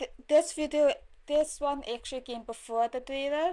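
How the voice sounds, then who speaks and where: A woman with a non-native accent, at a fairly slow pace with ordinary pitch variation, on a very clean recording with a silent background. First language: not English. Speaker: streamer reacting to videos. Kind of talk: casual reaction commentary. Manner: halting.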